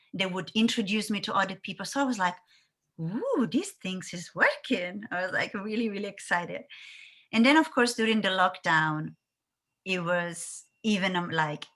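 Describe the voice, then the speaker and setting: In an Italian accent, a woman speaks at a moderate pace with a medium pitch and ordinary pitch variation. Her tone is bright and sharp, and the recording is very clean with a silent background. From Italy. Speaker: content creator. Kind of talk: interview. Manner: bubbly, lively; loud.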